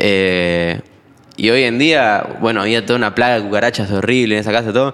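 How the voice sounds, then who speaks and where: At a moderate pace, a man speaks with fairly even intonation and a fairly low pitch in an unremarkable speaking voice. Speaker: musician. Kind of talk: casual chat.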